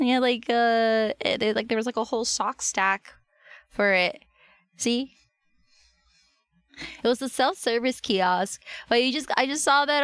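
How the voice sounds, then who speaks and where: At a moderate pace, a woman speaks with fairly high pitch in a dry, close sound with no echo. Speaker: livestreamer. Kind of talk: casual livestream talk to chat.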